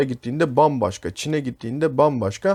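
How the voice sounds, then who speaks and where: On a very clean recording with a silent background, a man with a plain, everyday voice speaks at a fairly high pitch and a fairly quick pace. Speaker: English teacher. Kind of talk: tutorial.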